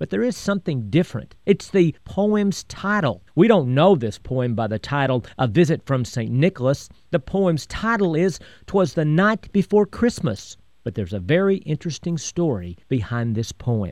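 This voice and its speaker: A man's fairly high voice with very wide pitch swings at a moderate pace, dry and close with no echo over a quiet background. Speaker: history storyteller and radio host. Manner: patriotic and promotional in the ad segment.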